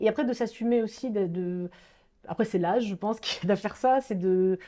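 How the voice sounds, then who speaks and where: Against a quiet background, a woman talks at medium pitch with ordinary pitch variation and a dark, mellow tone. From Marseille, southern France. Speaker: classical guitarist. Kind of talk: interview conversation.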